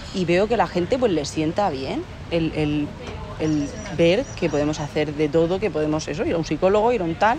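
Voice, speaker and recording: A Valencian accent over noticeable background noise. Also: woman, fairly low pitch for a woman, ordinary pitch variation, moderate pace. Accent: Alicante. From Spain, Alicante (Torrevieja). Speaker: psychologist. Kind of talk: interview conversation.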